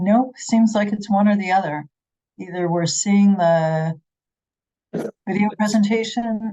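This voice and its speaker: Speaking at a fairly slow pace with long, frequent pauses, a woman has a medium pitch, a dark, mellow tone and ordinary pitch variation. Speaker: committee meeting facilitator. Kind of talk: public meeting, troubleshooting audio. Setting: hybrid meeting room with remote attendees. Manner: loud.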